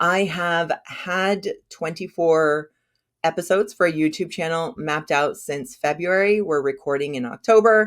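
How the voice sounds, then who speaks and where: A woman with an American accent speaks in an animated tone at a moderate pace, her fairly low pitch showing ordinary variation, on a very clean recording with a silent background. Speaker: funnel strategist, business owner. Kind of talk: interview, casual chat.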